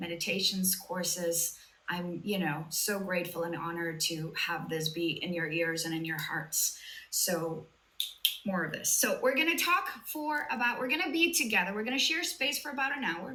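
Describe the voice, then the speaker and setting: A woman at medium pitch speaks at a moderate pace with very wide pitch swings. There is audible room echo and noticeable background noise. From Latin America. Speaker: sobriety coach. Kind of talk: live online talk. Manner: animated.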